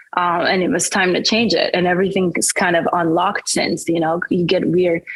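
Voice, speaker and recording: A woman with a fairly low pitch talks at a fairly quick pace and very even loudness. Noticeable background noise is present. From France, Paris suburbs (French-Caribbean family). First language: French. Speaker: singer-songwriter. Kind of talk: interview. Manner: casual, many fillers.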